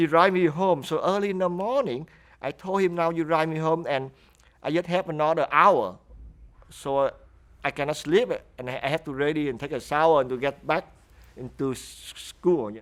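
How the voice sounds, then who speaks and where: With a Vietnamese accent, a man with a fairly high pitch talks at a moderate pace, using ordinary pitch variation, big swings in loudness and long, frequent pauses. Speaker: refugee interviewee. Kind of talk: interview testimony. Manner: halting.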